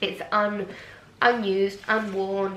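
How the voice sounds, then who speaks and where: An English accent amid audible room echo and noticeable background noise. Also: woman. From England. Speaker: fashion vlogger. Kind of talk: unboxing vlog, casual.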